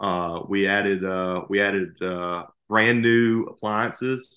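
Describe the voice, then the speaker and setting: This man speaks with a Southern US accent. His intonation stays fairly even. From Alabama, US South. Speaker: lawyer and rental property investor. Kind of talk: casual chat.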